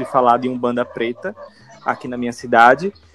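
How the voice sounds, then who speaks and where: This man has an ordinary speaking voice at a medium pitch and a moderate pace. The sound is dry and close, with no echo. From Aracaju, Sergipe, northeastern Brazil. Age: 20s. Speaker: designer and religious priest. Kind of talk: casual chat.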